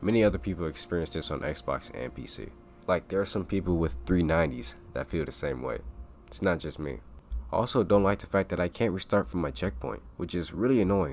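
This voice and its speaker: Using a very deep, low pitch with vocal fry, a man talks at a fairly quick pace. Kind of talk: video game review. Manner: casual.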